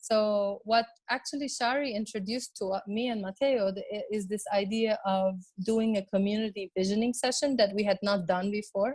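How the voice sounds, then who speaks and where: Somewhat breathy, a woman speaks at fairly high pitch and a moderate pace. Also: ordinary pitch variation. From Lebanon. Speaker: designer and urbanist. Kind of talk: webinar presentation. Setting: online webinar. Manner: halting, many fillers.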